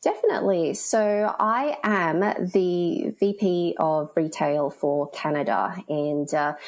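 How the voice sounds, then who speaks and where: A woman with a fairly low pitch speaks at a very slow pace, with hardly any pauses and lively intonation. Background noise is noticeable. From Australia. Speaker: retail analytics executive. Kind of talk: interview.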